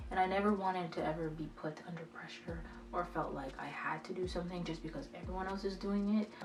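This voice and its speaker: There is music in the background. A woman speaks in a fairly low voice. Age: 20s. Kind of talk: casual talk to camera. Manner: hesitant.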